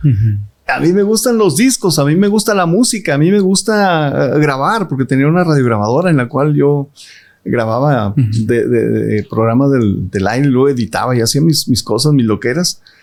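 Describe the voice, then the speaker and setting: Pitch swings very widely in this man's fairly high voice, which holds a moderate pace. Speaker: radio announcer. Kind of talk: interview answer.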